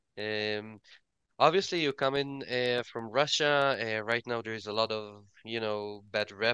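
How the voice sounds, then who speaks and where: Against a quiet background, a man of medium pitch talks at a moderate pace with a bright, sharp tone and fairly even intonation. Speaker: talk show host. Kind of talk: casual interview. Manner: hesitant, many fillers.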